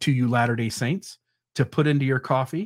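A man with an American accent has a plain, everyday voice at medium pitch with ordinary pitch variation. He keeps a moderate pace on a very clean recording with a silent background. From Ohio, US. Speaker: podcast host. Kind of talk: solo commentary podcast. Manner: casual, with frequent fillers.

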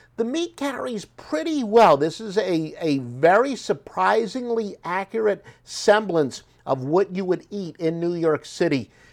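A high-pitched man with an American accent and very wide pitch swings, on a very clean recording with a silent background. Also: fairly slow pace. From South Jersey, US. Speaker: podcast host, restaurant reviewer. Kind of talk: casual solo review monologue.

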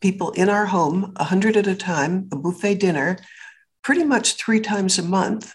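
In a quiet background, a woman talks at a medium pitch and moderate pace, somewhat breathy, with ordinary pitch variation. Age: 80s+. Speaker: businesswoman and public speaker. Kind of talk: interview. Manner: animated.

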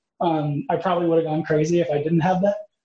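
A man's high-pitched, dark, mellow voice at a very fast pace. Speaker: podcast co-host and military veteran. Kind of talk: podcast interview.

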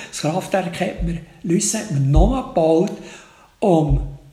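With a Bernese accent, a man talks at a fairly slow pace with ordinary pitch variation, and room echo can be heard. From Switzerland, Bernese Oberland near Lake Thun. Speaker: crime novelist, retired teacher. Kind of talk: interview.

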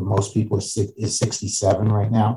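Somewhat breathy and dark, mellow in tone, the voice comes with an American accent. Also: man. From New York, Westchester County. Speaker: financial advisor. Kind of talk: interview.

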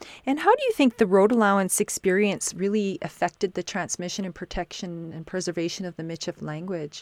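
A woman's medium-pitched voice in a Canadian prairie accent, fairly quick with hardly any pauses, ordinary pitch variation, big swings in loudness, and a dry, close sound with no echo. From Saskatchewan, Canada. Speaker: podcast host. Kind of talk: podcast interview.

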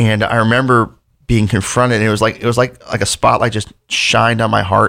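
A man with an American accent and a medium pitch, fairly quick flat monotone delivery with vocal fry, very clean recording over a silent background. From Delaware, US. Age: 40s. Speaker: pastor. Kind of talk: casual chat.

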